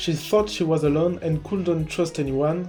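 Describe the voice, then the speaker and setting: With music playing in the background, a man with a non-native accent talks at a fairly high pitch and fairly even intonation. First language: not English. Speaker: video game analysis YouTuber. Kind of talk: video essay narration.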